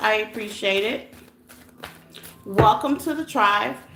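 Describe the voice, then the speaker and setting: A woman speaks at a fairly high pitch with lively intonation. Noticeable background noise runs behind her. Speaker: tarot reader. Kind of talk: live stream tarot reading chat. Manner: loud.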